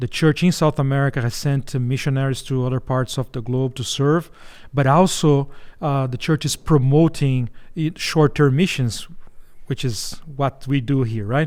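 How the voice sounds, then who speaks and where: A strong Brazilian accent comes through with fairly even intonation. The recording is very clean, with a silent background. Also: man, fairly high pitch for a man, moderate pace. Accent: heavy Brazilian Portuguese. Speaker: missions organization executive. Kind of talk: interview.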